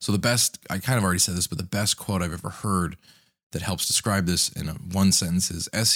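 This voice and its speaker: A raspy, very deep male voice at a very fast pace, with ordinary pitch variation, dry and close with no echo, on a very clean recording with a silent background. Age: 30s. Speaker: podcast host, content creator. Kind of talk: solo podcast monologue, tutorial.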